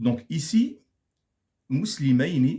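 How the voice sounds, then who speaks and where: Lively intonation marks this man's medium-pitched speech. His tone is dark, mellow and somewhat breathy. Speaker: Arabic grammar teacher. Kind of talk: lecture.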